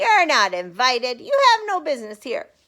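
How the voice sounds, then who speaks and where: A woman puts on a squeaky character voice, high in pitch with very wide pitch swings, at a moderate pace. The recording is very clean with a silent background. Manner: commanding, dismissive.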